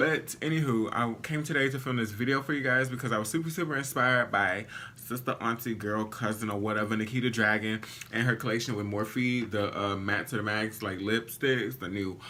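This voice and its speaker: Through noticeable background noise, a man speaks at a moderate pace in an animated tone, his medium pitch showing ordinary variation. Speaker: beauty vlogger. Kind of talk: makeup tutorial. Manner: casual, animated.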